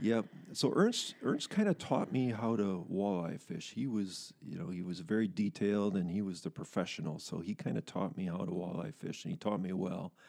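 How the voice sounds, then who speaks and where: Using an unremarkable speaking voice, a man with an American accent talks at a moderate pace with a fairly low pitch and lively intonation. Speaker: long-time company employee and sports referee. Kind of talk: interview.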